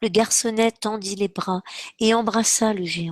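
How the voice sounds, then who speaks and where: Recorded very cleanly against a silent background, a woman's fairly high voice comes across dry and close with no echo. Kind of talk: children's story reading.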